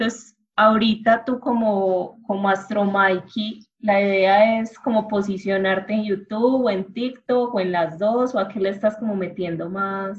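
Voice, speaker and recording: A woman's unremarkable speaking voice, medium in pitch, at a fairly slow pace with fairly even intonation. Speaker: journalist. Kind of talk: interview.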